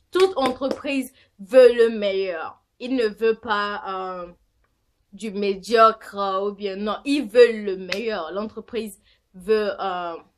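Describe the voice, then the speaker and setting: Very slowly and with a non-native accent, a woman speaks in a fairly high voice with ordinary pitch variation and big swings in loudness. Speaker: vlogger. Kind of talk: casual vlog monologue. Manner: halting, many fillers.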